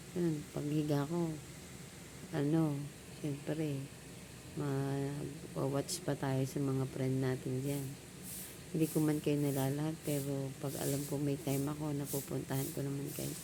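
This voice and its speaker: In a quiet voice with audible room echo, the speech comes at a fairly slow pace in a monotone, flat intonation. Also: woman, very deep, low pitch for a woman. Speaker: vlogger. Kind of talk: casual vlog talk. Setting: outdoors at home, just woke up. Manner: quiet, low voice.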